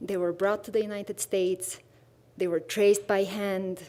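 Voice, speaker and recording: A woman with a Bulgarian accent talks at a medium pitch. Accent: Bulgarian accent, kept after 22 years in US. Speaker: visual artist in residence. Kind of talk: artist presentation.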